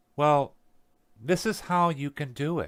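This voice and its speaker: On a very clean recording with a silent background and a dry, close sound with no echo, a man with an American accent speaks at a fairly high pitch. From US South. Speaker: podcast host, tradesman and apprenticeship instructor. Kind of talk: motivational podcast talk. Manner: casual, unscripted.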